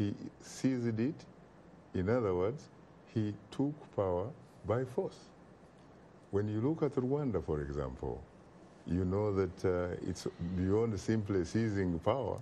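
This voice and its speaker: With an African accent, a man speaks at a fairly slow pace in a fairly low, dark, mellow voice with lively intonation. His loudness stays very even, broken by long, frequent pauses. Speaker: talk show host and political commentator. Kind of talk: TV talk show discussion. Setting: TV studio.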